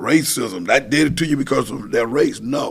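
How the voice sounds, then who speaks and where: The speaker talks at a moderate pace with an American accent. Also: man. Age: 60s. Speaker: pastor and council member. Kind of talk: casual chat. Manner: animated.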